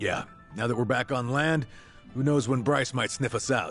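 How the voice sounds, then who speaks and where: A man performs a raspy, put-on character voice at a medium pitch and moderate pace while clear music plays in the background. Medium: video game.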